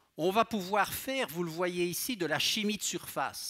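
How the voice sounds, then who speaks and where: A high-pitched man with a slight Belgian accent, a bright, sharp tone and a fairly slow pace, against a quiet background. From Belgium. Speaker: pharmacology professor and researcher; pharmacology professor. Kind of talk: public science lecture. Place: hall. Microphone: headset.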